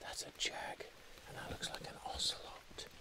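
A man whispers at a very slow pace. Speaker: wildlife biologist and tracker. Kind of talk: field commentary to camera. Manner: whispered. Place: forest. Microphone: phone near.

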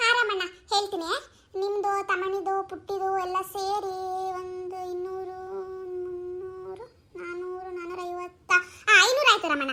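A woman puts on a cartoonish character voice at an extremely high pitch. She talks at a fairly slow pace with fairly even intonation and big swings in loudness. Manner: chatty, friendly.

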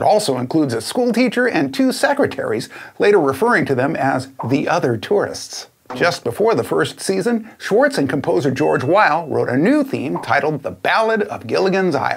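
His pitch rises and falls very widely. The man keeps a moderate pace. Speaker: classic TV trivia host. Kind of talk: trivia commentary to camera. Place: home room. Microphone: lapel.

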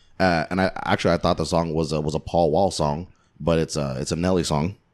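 Over a quiet background, a man with a very deep, low pitch talks at a fairly quick pace. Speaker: podcast host. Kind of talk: casual chat. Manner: playful, animated. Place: home room. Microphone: studio mic.

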